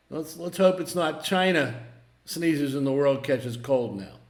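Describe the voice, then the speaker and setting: Ordinary pitch variation from a man with a fairly high voice, plus audible room echo. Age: 60s. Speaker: market commentator, former broker. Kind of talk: casual market commentary monologue. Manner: halting, repeats words.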